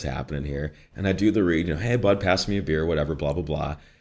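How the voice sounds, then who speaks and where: A man speaks with a slight Midwestern accent. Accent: slight Midwest. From Chicago area, northwest suburbs. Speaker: voice actor. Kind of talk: interview. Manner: animated.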